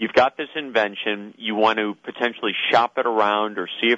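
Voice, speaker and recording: A man speaks with a normal speaking voice at a medium pitch. His pace is moderate. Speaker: inventor-community expert, conference speaker. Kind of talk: phone interview, explanatory talk. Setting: phone call.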